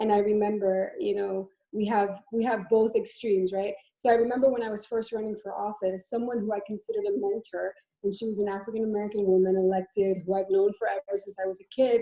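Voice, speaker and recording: Talking at a very fast pace, a woman with a medium pitch and a dark, mellow tone keeps a monotone, flat intonation. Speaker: former elected official. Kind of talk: panel discussion webinar. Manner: hesitant, many fillers.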